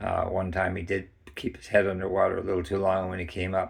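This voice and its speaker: A man's very deep, low, somewhat breathy voice in a monotone, flat intonation at a moderate pace. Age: 60s. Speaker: snake owner, pet care video maker. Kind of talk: tutorial. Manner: halting, with many fillers.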